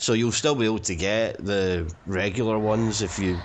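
A man with a Scottish accent speaks with ordinary pitch variation. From Scotland. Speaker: film commentary panelist. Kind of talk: casual chat.

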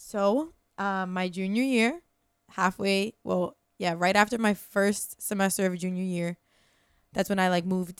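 Speech comes at a moderate pace with fairly even intonation. The recording is very clean, with a silent background. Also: woman. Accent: American. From New York City area; Yonkers, New York. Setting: studio.

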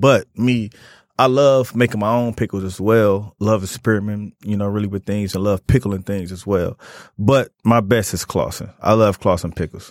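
With an American accent and an ordinary speaking voice, a man speaks at a moderate pace and a fairly low pitch, the sound dry and close with no echo on a very clean recording with a silent background. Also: fairly even intonation. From Detroit area. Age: 30s. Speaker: chef. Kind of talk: casual chat.

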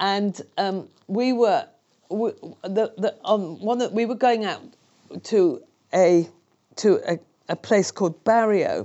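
With a British accent, a woman speaks at a very slow pace and a fairly high pitch. Her intonation is lively, broken up by long, frequent pauses. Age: 60s. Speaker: charity founder and speaker. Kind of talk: interview testimony.

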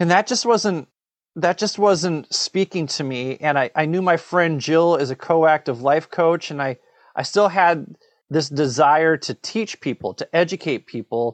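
This man has an unremarkable speaking voice with an American accent and ordinary pitch variation. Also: fairly high pitch for a man, fairly slow pace. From Minnesota. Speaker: podcast co-host and course creator. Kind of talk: interview conversation. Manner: repetitive false starts.

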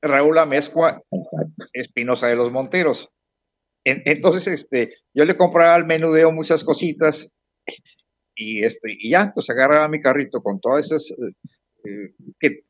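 Lively intonation marks a man talking at a fairly slow pace with long, frequent pauses. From Mexico, Puebla city. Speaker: retired businessman. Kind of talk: interview. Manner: halting.

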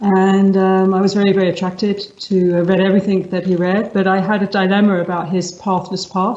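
A woman with a London accent, medium in pitch, at a moderate pace and in a monotone, flat delivery. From England, London (East End roots). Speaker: meditation teacher. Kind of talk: interview conversation. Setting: video call.

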